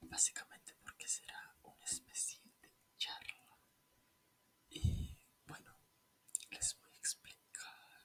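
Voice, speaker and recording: Someone whispers at a very slow pace, leaving long, frequent pauses. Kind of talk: ASMR whispered chat. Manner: whispered.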